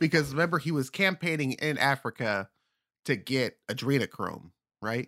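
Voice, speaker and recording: A man speaks at a moderate pace. His tone is bright and sharp on a very clean recording with a silent background. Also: fairly high pitch for a man, ordinary pitch variation, dry, close sound with no echo. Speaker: podcast host. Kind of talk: casual comedic banter. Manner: joking, impressions, casual.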